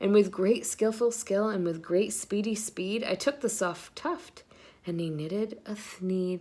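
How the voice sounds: A woman speaks at a fairly slow pace in a dark, mellow tone. Her pitch sits at a medium level and varies in an ordinary way.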